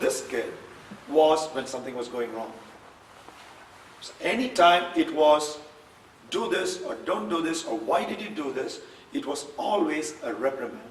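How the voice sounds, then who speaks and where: A man with a non-native accent talks at a high pitch with very wide pitch swings, big swings in loudness and long, frequent pauses, amid audible room echo and noticeable background noise. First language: not English. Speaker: keynote speaker. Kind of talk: keynote speech.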